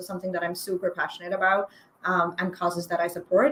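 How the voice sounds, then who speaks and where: The speaker has a Pakistani accent. Noticeable background noise runs underneath. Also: woman. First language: Urdu. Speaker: copywriter. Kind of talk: interview.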